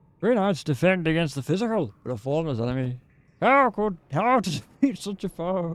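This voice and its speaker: A man puts on a character voice in a high pitch. He delivers it at a moderate pace. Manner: solemn, weary.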